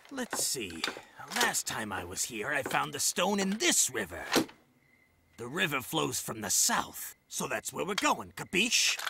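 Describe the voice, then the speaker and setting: A man uses a cartoonish character voice of medium pitch. He talks at a fairly slow pace with very wide pitch swings. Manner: bullying, barking, contemptuous.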